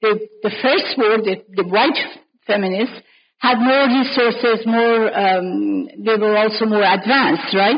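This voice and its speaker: The voice keeps a very even loudness, with ordinary pitch variation. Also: woman, fairly high pitch for a woman. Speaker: scholar leading a panel discussion. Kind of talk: academic panel discussion. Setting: conference panel. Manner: unscripted, spontaneous.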